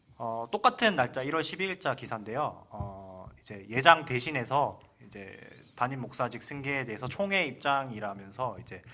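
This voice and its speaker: A man's bright, sharp voice at medium pitch, with lively intonation and big swings in loudness. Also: moderate pace. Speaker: church reform show panelist. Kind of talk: panel discussion.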